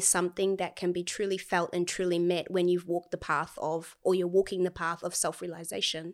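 This woman's voice sits at a medium pitch and moves at a moderate pace. The recording is very clean and the background silent. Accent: New Zealand. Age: 20s. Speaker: spiritual healer. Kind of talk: casual chat.

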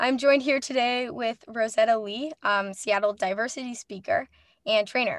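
Over a quiet background, a woman speaks in a plain, everyday voice, fairly high in pitch, at a moderate pace. Her intonation is fairly even, and the sound is dry and close with no echo. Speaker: radio host. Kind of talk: radio interview. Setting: radio studio.

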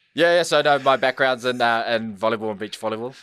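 A man with a New Zealand accent talks at a very fast pace with ordinary pitch variation in a very clean recording with a silent background. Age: 30s. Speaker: school liaison officer. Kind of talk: casual interview chat.

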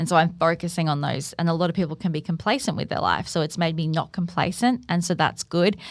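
Someone with an Australian accent talks at a very fast pace with hardly any pauses and ordinary pitch variation, on a very clean recording with a silent background. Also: woman, fairly low pitch for a woman. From Australia, Gold Coast. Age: 30s. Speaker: podcast producer and cancer patient. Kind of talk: interview, personal testimony. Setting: studio.

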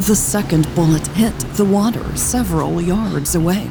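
At a fairly slow pace and with ordinary pitch variation, the speaker talks over noticeable background noise. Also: woman. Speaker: audiobook narrator and podcast host. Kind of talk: audiobook narration.

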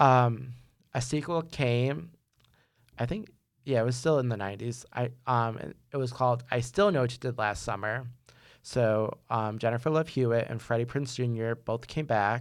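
A man's normal speaking voice at a medium pitch and moderate pace, ordinary pitch variation, in a very clean recording with a silent background. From New York. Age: 30s. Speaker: podcast host, film student. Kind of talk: solo podcast monologue. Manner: casual with many fillers.

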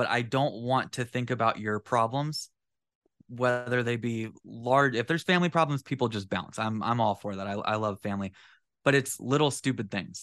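A man with an American accent speaks in an unremarkable speaking voice at a medium pitch. He keeps a moderate pace and ordinary pitch variation against a quiet background. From Central California. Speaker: podcast co-host, carpenter. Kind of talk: casual chat.

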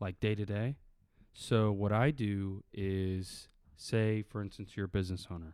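This man has an unremarkable speaking voice with an American accent, a fairly low pitch, and fairly even intonation. He talks at a fairly slow pace on a very clean recording with a silent background. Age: 20s. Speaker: podcast host. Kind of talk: casual interview. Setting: studio.

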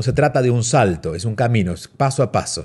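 Lively intonation in a somewhat breathy voice, over a quiet background. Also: man. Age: 40s. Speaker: radio host and self-help author. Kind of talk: advice radio show. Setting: home studio.

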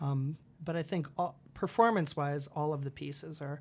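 The speaker is a man with an American accent. The recording is very clean, with a silent background. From Iowa, US Midwest (Dubuque). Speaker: college theater director. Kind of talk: casual interview. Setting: studio. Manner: halting, many fillers.

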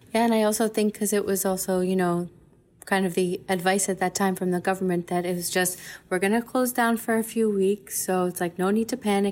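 A normal speaking voice with an American accent. The pace is moderate and the intonation fairly even. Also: woman. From United States. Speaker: operations project leader at a university lab. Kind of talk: casual interview chat.

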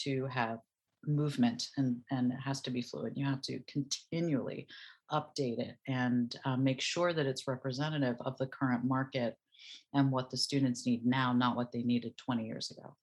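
A woman speaks in a very deep, low voice with monotone, flat intonation at a moderate pace. The background is quiet. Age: 50s. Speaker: actress and musical theatre educator. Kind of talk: interview.

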